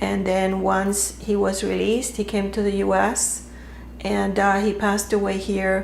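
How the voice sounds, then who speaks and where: Fairly slow speech at very even loudness, with audible room echo and noticeable background noise. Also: woman. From Cuba, Havana. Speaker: interviewee, daughter of a Cuban general. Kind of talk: interview. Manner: hesitant, many fillers.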